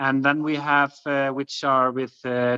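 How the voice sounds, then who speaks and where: With an Icelandic accent, a man talks at a very slow pace in a fairly high pitch, the sound dry and close with no echo. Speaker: farm guesthouse owner. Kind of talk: webinar presentation and Q&A. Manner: halting, many fillers.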